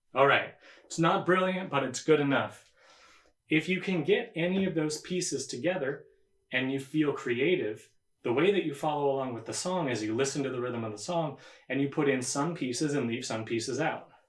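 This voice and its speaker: A man talks at a fairly quick pace with a fairly high pitch and ordinary pitch variation. He has an unremarkable speaking voice. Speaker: square dance caller and banjo player. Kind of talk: instructional talk to camera, workshop demonstration.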